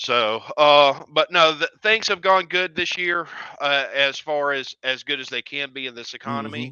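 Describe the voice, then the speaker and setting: A man talks at a moderate pace with a Southern US accent. His loudness swings widely while his pitch varies in an ordinary way. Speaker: drag racing event organizer. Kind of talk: casual interview chat.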